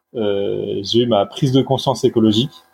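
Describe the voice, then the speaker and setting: In an ordinary speaking voice, a man talks with ordinary pitch variation. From Brittany, France. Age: 30s. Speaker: newsletter creator on sustainable finance. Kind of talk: casual interview.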